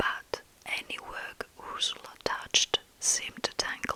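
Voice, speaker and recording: Noticeable background noise sits under a woman's whispering. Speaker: ASMR storyteller. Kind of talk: fairytale story reading for sleep. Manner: whispered, soft-spoken.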